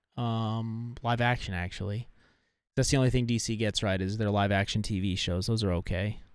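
A man with an unremarkable speaking voice talks at a moderate pace, fairly low in pitch with fairly even intonation. The recording is very clean, with a silent background. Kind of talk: casual banter.

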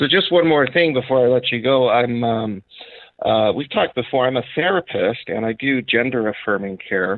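Spoken at a moderate pace, an ordinary speaking voice carries lively intonation. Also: man, medium pitch for a man. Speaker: caller. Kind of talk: casual chat. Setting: phone call.

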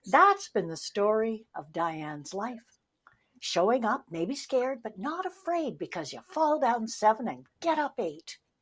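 A woman speaks at a fairly slow pace with fairly high pitch and very wide pitch swings. The recording is very clean, with a silent background. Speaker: podcast co-host. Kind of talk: casual interview chat.

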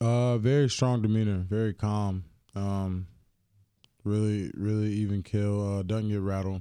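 A dark, mellow voice with a North Carolina accent speaks fairly slowly in a monotone, flat intonation on a very clean recording with a silent background. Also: man, fairly low pitch for a man. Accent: Southern US, North Carolina. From US South, Greensboro, North Carolina. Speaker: pro football player. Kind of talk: casual interview. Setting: studio.

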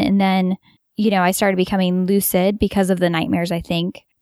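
A woman speaks in an ordinary speaking voice with an American accent, at a medium pitch and a fairly quick pace. The sound is dry and close with no echo, on a very clean recording with a silent background. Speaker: lucid dreamer. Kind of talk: casual chat. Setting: home basement.

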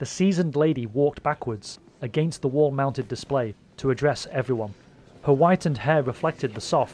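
A man speaks at a fairly quick pace in an unremarkable speaking voice. His pitch is fairly high, with ordinary variation. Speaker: fan-fiction audio drama creator and narrator. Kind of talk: dramatic narration of a scripted audio story. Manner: measured, suspenseful, storyteller delivery.

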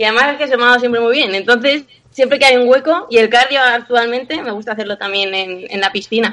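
This woman talks at a very fast pace in a high, bright and sharp voice with ordinary pitch variation. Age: 20s. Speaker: personal trainer. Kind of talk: interview.

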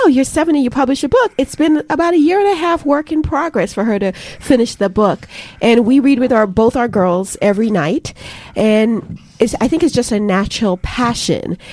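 Speaking at a moderate pace with a high pitch, a woman swings her pitch very widely while keeping her loudness very even, with noticeable background noise behind her. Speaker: parent. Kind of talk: radio interview. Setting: studio.

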